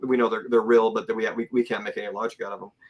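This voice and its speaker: A man's voice at a medium pitch. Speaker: guest on a UFO talk show. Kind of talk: casual interview chat. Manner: fast; halting, many repeated words.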